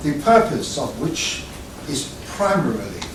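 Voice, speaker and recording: Speaking very slowly with lively intonation, a man is heard over noticeable background noise and audible room echo. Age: 80s+. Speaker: barrister. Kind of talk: speech. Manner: formal.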